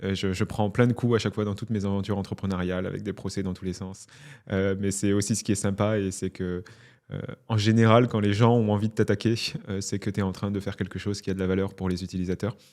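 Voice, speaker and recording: Speaking at a very fast pace, a man with a fairly low voice keeps a monotone, flat intonation on a very clean recording with a silent background. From southern France, Narbonne. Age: 30s. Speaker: entrepreneur. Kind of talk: interview. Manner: hesitant, many fillers and repetitions.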